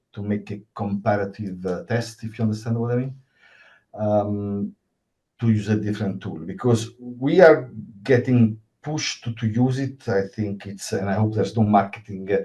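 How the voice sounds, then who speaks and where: Against a quiet background, a man with an Italian accent and a fairly low pitch speaks at a moderate pace, somewhat breathy and dark, mellow in tone, with ordinary pitch variation. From Italy. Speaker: cybersecurity worker, event attendee. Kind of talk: Q&A question at online event. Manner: halting.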